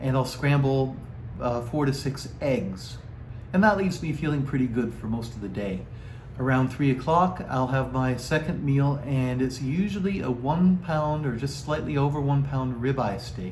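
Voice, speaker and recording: Noticeable background noise sits behind a man speaking at a moderate pace. His pitch is medium with ordinary variation. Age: 60s. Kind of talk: casual talk to camera.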